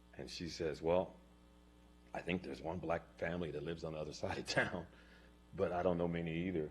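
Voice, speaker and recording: Very fast, monotone, flat delivery in an American accent, with audible room echo. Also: man. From Gilroy, California. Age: 60s. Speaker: public commenter. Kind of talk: public comment testimony. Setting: city council chambers.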